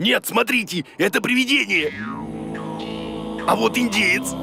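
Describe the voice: A cartoonish character voice with a bright, sharp tone, a slightly husky edge and vocal fry. It moves at a fairly slow pace over faint music in the background. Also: man, high pitch for a man, ordinary pitch variation.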